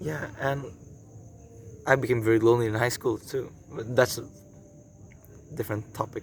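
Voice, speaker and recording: In an Indonesian accent, a man speaks at a medium pitch and a moderate pace, with fairly even intonation and long, frequent pauses. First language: Indonesian or Javanese. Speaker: vlogger and traditional archer. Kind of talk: casual vlog talk to camera. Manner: halting, many fillers and repeats.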